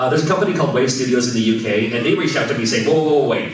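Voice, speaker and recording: Audible room echo and noticeable background noise accompany a man with an American accent speaking at a medium pitch with lively intonation. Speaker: game developer and convention panelist. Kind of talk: convention panel talk with Q and A. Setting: stage with audience at a convention. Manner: fast; casual, many fillers.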